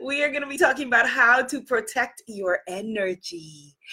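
In a very clean recording with a silent background, a woman speaks at a moderate pace in an animated, warm tone that is also bright and sharp, with ordinary pitch variation. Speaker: live stream host, spiritual coach. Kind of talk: live stream talk to audience.

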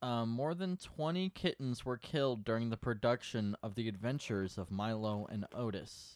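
Lively intonation marks an unremarkable speaking voice at a moderate pace with hardly any pauses. The recording is very clean with a silent background and a dry, close sound with no echo. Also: man, medium pitch for a man. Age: 20s. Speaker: podcast co-host. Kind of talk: casual chat.

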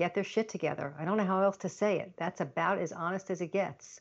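A woman with an American accent and a normal speaking voice, medium in pitch, with fairly even intonation. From Long Island, New York. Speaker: productivity consultant and author. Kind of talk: interview.

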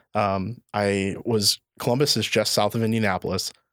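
An unremarkable speaking voice from a man, fairly low and fairly even in intonation, with a dry, close sound with no echo. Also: very clean recording, silent background. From northwest Indiana. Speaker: school resource officer (police). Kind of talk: casual interview.

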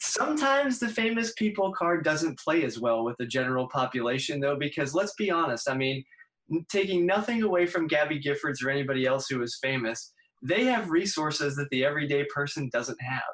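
With an American accent, this man talks at a fairly quick pace in a fairly high pitch, his intonation lively. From US Northeast. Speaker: speech-language pathology professor. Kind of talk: interview. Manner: halting.

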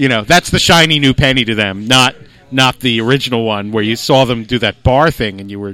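A man's medium-pitched, an ordinary speaking voice, at a fairly quick pace. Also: big swings in loudness. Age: 50s. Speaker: comedian and magician. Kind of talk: casual chat.

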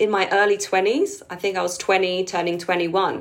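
The pace is moderate. A woman talks with lively intonation. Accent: London. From London, England (Filipino community). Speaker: keyboard player and musical director. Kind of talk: casual interview.

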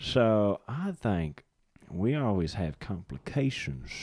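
Drawling in a put-on character voice, a man speaks at a fairly slow pace, pitched fairly low, with very wide pitch swings. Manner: slow, drawn-out.

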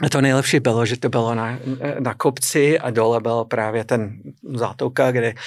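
Speaking with an English accent, a man keeps a medium pitch and fairly even intonation. His pace is fairly slow, and the recording is very clean with a silent background. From US, New England (Boston area). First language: English (speaking Czech). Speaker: business owner, publisher. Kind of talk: interview.

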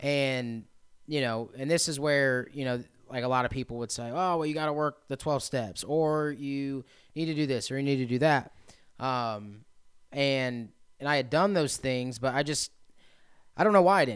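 A man with a Midwestern American accent, medium pitch, ordinary pitch variation and a moderate pace, with long, frequent pauses on a very clean recording against a silent background. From central Indiana. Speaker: recovery residence operator, person in recovery. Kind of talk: testimony.

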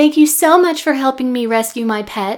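A female-sounding voice takes on a put-on character voice, pitched high. The pace is moderate. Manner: carrying, meant to be overheard.

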